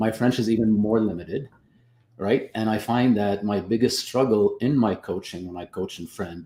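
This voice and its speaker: A man speaks at a moderate pace, his pitch fairly low. The tone is dark and mellow, with ordinary pitch variation. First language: not English. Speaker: business coach and photographer. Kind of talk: casual panel chat. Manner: halting, many repetitions.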